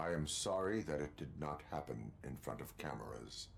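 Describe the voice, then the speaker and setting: A man speaks in a put-on character voice with a very deep, low pitch, with background noise clearly audible. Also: moderate pace. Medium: video game. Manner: flat, clipped, formal.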